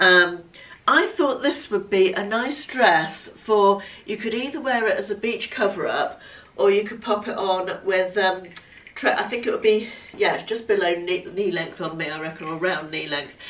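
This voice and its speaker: Noticeable background noise accompanies a woman speaking at a medium pitch and a moderate pace. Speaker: fashion vlogger. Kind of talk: casual chat, clothing haul and try-on. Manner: chatty, conversational.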